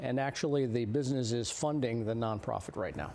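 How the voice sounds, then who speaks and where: A speaker with an American accent talks at a fairly quick pace, using a dark, mellow tone and ordinary pitch variation. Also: man. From New Jersey. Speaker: blacksmith, pastor and Navy veteran. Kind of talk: interview. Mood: earnest, passionate. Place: studio. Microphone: lapel.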